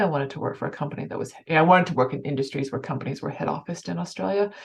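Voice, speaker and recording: With a Canadian accent, a woman speaks at a very deep, low pitch with vocal fry. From Canada. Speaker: financial services executive. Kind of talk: interview. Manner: fast.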